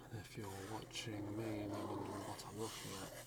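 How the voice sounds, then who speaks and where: A soft-spoken man over noticeable background noise. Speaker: ASMR creator. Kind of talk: ASMR sleep aid talk to camera.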